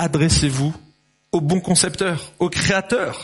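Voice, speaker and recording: At a very slow pace, a man speaks. His pitch varies in an ordinary way. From France, Lyon. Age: 50s. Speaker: pastor. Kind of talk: sermon. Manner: animated.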